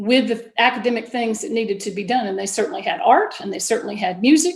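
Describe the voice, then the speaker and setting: A woman with a Southern accent speaks at a fairly high pitch. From US South, Georgia. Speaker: school board candidate, science teacher. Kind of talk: candidate forum statement.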